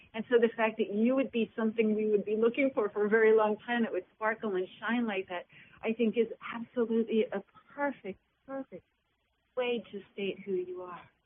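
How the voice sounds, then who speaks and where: A woman at a fairly high pitch, warm and enthusiastic in tone, at a fairly quick pace. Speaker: radio host. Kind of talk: interview, host introducing guest. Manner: warm, enthusiastic.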